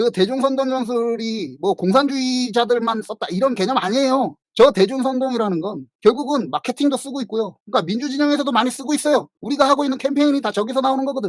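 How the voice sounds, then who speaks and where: A man talks at an extremely high pitch and a very fast pace, with hardly any pauses and ordinary pitch variation. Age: 50s. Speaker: writer and livestream host. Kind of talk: casual livestream talk. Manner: self-described poor pronunciation; casual, conversational.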